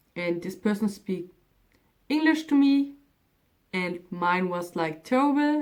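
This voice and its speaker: The voice has a German accent and very wide pitch swings. It moves at a very slow pace. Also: woman. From Germany. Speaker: vlogger. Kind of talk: casual vlog talk.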